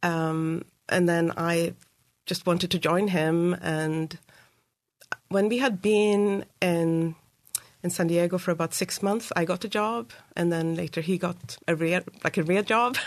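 Speaking with a Swedish accent, a woman talks at a fairly slow pace with long, frequent pauses, fairly even intonation and very even loudness. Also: fairly low pitch for a woman. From Sweden, Uppsala. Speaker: school board candidate. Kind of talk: interview. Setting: studio.

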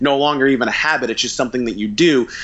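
A man talks with ordinary pitch variation. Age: 40s. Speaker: author and marketing company CEO. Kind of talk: interview.

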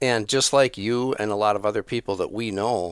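On a very clean recording with a silent background, a man talks at a moderate pace. He has a normal speaking voice with a fairly low pitch. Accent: American. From Minnesota. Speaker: turkey hunting expert. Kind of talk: podcast interview.

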